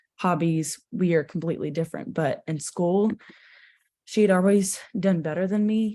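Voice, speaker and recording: Dark, mellow tone with an American accent, ordinary pitch variation, moderate pace and a quiet background. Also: woman. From Texas, Houston. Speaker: worship leader. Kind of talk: interview.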